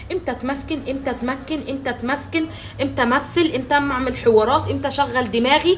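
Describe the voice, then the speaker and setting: Loud and high-pitched, a woman speaks over noticeable background noise. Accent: Egyptian. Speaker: social media relationship coach. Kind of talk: advice monologue to camera. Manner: loud, emphatic.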